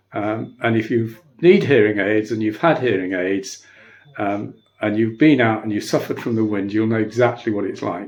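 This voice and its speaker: Music plays in the background. A man with a medium-pitched voice talks at a moderate pace. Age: 70s. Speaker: hearing aid customer. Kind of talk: customer testimonial. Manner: hesitant, many filler ums.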